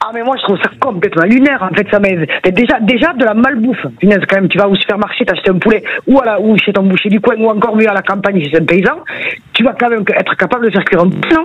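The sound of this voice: The voice moves at a fast pace with few pauses, ordinary pitch variation and a slightly husky edge. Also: woman, medium pitch for a woman.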